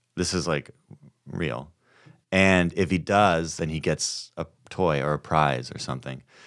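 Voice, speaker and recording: With vocal fry and a very deep, low pitch, a man speaks at a fairly slow pace with ordinary pitch variation and long, frequent pauses on a very clean recording with a silent background. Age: 40s. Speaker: comedian. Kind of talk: casual chat.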